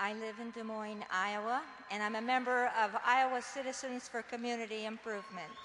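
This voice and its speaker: Over noticeable background noise, a woman with a fairly high pitch talks at a moderate pace in a monotone, flat intonation. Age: 70s. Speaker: community organizer. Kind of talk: prepared testimony at a public forum. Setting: public forum with audience.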